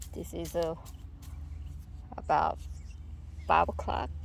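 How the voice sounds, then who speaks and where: Audible room echo hangs around the woman's voice as she talks fairly slowly. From Korea. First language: Korean. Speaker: gardening vlogger. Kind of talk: casual garden tour vlog. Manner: halting.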